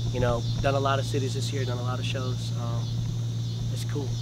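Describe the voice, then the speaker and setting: Over loud background noise, a man with an American accent talks at a very fast pace in a dry sound with no echo. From US Midwest. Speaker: rapper. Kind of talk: casual interview. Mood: upbeat, grateful. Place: street.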